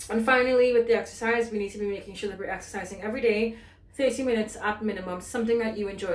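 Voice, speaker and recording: A woman with a fairly high pitch speaks with fairly even intonation. Noticeable background noise and audible room echo are present. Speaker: fitness instructor. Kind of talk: tutorial. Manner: fast; casual.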